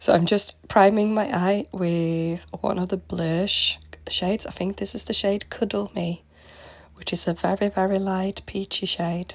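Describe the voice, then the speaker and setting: With a Manchester accent, this speaker talks at a fairly slow pace with ordinary pitch variation. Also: woman. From northern England, Manchester. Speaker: makeup artist. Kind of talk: makeup tutorial.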